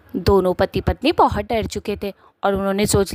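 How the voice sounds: At a fairly quick pace, a woman with a medium-pitched voice is heard in a dry, close recording with no echo.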